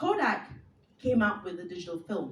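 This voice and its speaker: A woman talks at a fairly quick pace, her pitch swinging very widely. Audible room echo and noticeable background noise come through. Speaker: speaker, former radio professional. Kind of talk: talk to an audience. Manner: fast.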